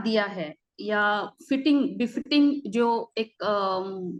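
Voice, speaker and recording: A woman in a Marathi accent with ordinary pitch variation. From Maharashtra, Buldhana district. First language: Marathi (speaking Hindi). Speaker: civil servant, guest speaker. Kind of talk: online lecture. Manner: halting, many fillers.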